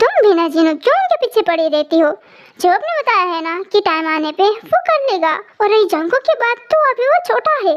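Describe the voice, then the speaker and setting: A put-on character voice pitched extremely high, moving at a fairly quick pace. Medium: read story. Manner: calm, joking.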